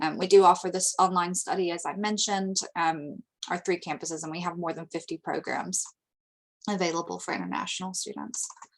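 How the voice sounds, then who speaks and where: Speaking at a fairly quick pace in an American accent, the voice carries vocal fry, fairly even intonation and big swings in loudness. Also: woman, fairly low pitch for a woman. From United States. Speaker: international education representative. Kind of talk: webinar presentation. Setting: online webinar.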